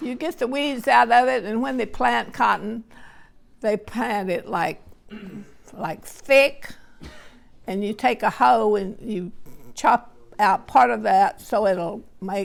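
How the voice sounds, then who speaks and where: Speaking in a Texan accent, a woman uses a fairly high voice with vocal fry and lively intonation, at a very slow pace with long, frequent pauses. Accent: Texan Southern American. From Texas, USA. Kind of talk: family interview answer. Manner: slow, hesitant.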